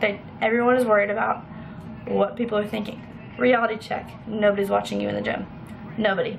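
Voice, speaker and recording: Speaking at a fairly quick pace in a medium pitch, a woman is heard with audible room echo and noticeable background noise. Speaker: fitness vlogger. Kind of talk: casual vlog tutorial. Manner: fast; animated.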